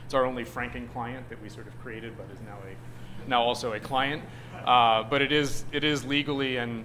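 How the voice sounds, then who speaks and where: A man talks at a medium pitch, and audible room echo is heard around his voice. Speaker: nonprofit services director. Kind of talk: presentation to a group. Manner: fast.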